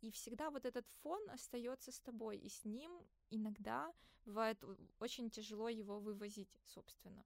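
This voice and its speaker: Moderate pace and ordinary pitch variation. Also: woman, fairly high pitch for a woman. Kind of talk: casual chat. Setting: studio. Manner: animated.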